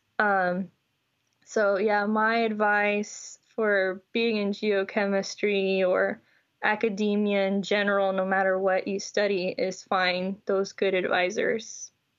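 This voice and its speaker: Speaking very slowly with an American accent, a woman keeps her loudness very even and her intonation flat and monotone. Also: medium pitch for a woman. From Houston, Texas. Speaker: geochemistry PhD student. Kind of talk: casual interview.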